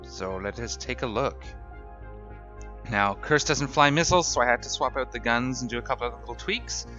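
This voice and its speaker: A man's fairly low voice with very wide pitch swings, music in the background. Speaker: gaming YouTuber. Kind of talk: gameplay commentary. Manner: casual, upbeat.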